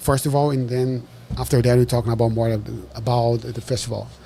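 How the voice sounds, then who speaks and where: Speaking fairly quickly with a Brazilian accent, a man at medium pitch has a dark, mellow, somewhat breathy tone. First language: Portuguese. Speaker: podcast host. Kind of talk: casual interview. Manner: halting.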